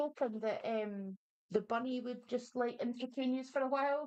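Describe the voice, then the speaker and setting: The speaker is a woman. Her voice sits at a high pitch. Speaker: online talk show host. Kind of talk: casual chat. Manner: animated; quieter than co-host.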